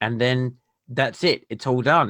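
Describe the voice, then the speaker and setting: A man's bright, sharp tone in an Australian accent at medium pitch, with a dry, close sound and no echo. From Western Australia, Perth. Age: 40s. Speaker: podcast host. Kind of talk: interview.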